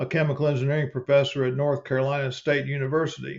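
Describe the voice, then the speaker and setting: This man's voice is fairly high-pitched and somewhat breathy, moving at a fairly quick pace with a monotone, flat delivery. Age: 70s. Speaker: retired chemical engineer. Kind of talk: personal narration.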